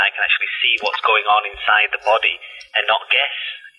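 A man with a Manchester accent talks at a fairly quick pace over noticeable background noise. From northern England, Salford, Manchester. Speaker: medical imaging scientist. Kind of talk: interview.

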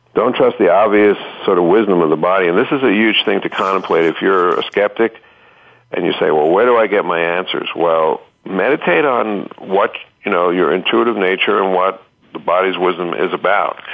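An ordinary speaking voice from a man, fairly low-pitched and fairly quick, with very even loudness and ordinary pitch variation. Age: 60s. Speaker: bodywork therapist. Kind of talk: interview.

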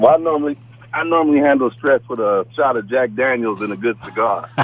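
This man speaks at a fairly quick pace with a medium pitch and ordinary pitch variation. There is noticeable background noise. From San Diego. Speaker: former athlete, friend of host. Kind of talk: casual chat. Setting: phone call.

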